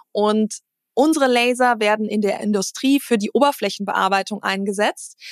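In a plain, everyday voice, the speaker talks at a moderate pace with ordinary pitch variation, the sound dry and close with no echo. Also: woman, fairly high pitch for a woman. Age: 30s. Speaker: CEO of a family machine-building company. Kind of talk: casual interview.

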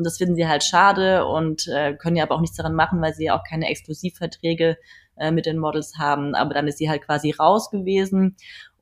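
A woman talks at a very fast pace in a very deep, low voice with fairly even intonation. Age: 30s. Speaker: photographer and model agency founder. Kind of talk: casual interview.

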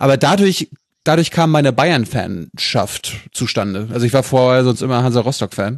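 At a moderate pace, a man speaks in a plain, everyday voice with a medium pitch and very even loudness. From Mecklenburg-Vorpommern, northeast Germany. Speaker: journalist, podcast host as guest. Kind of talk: casual chat.

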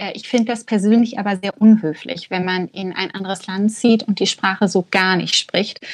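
Hardly any pauses break the flow as a woman with an unremarkable speaking voice talks at a medium pitch and moderate pace, her intonation fairly even and her loudness swinging widely, in a dry, close sound with no echo. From Germany. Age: 30s. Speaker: art gallery manager, emigrant. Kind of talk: casual interview.

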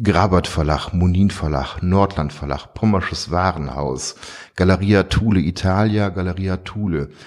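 The speaker is a man with ordinary pitch variation. He talks very slowly. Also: very clean recording, silent background. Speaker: visual artist. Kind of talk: interview.

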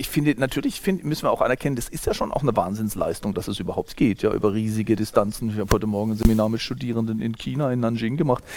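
A man with a medium-pitched voice races along at a very fast pace, hardly pausing, and his pitch varies in an ordinary way. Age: 50s. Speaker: sociology professor. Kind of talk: interview.

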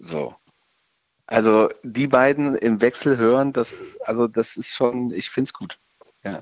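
A man speaks at a fairly slow pace and medium pitch, with ordinary pitch variation. He pauses long and often, and his loudness swings widely. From Germany, Rhein-Sieg-Kreis. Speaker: rock band guitarist. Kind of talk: interview. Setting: phone or remote line.

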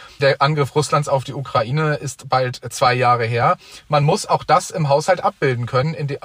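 A man's normal speaking voice, fairly high in pitch, at a moderate pace. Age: 20s. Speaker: young member of parliament. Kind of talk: debate.

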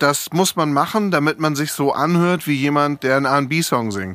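A man's fairly high voice with ordinary pitch variation, in a dry, close sound with no echo. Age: 50s. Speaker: DJ and agency founder. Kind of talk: casual chat. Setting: studio.

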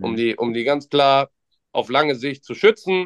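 Here a man talks at a moderate pace in a fairly high pitch, with an unremarkable speaking voice. The sound is dry and close with no echo. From Mönchengladbach, western Germany. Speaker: trading card shop employee. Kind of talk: casual chat.

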